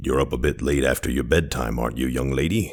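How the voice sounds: A man growls through a gruff, put-on character voice at a very deep, low pitch and a very fast pace.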